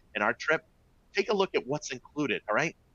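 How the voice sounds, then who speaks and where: A man with a Boston accent has a bright, sharp tone and an animated delivery. The sound is dry and close with no echo. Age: 40s. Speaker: travel company executive. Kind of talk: webinar presentation. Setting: live online webinar.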